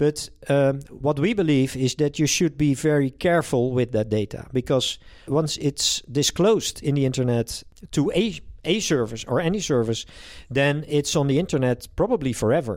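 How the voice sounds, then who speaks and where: A man with a Dutch accent speaks at a moderate pace in a fairly high pitch, with ordinary pitch variation and very even loudness. The recording is very clean, with a silent background. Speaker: privacy tech company founder. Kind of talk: interview. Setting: company office. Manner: halting.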